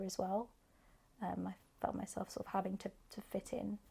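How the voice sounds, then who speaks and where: In a London accent, a woman speaks at medium pitch with a dark, mellow tone that is somewhat breathy. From northwest London, England. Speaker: actor. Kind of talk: interview answer.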